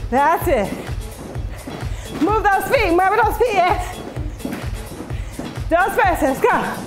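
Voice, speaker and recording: With clear music in the background, a woman speaks very slowly at an extremely high pitch. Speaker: fitness instructor. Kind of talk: shouted workout cues and counting. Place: gym.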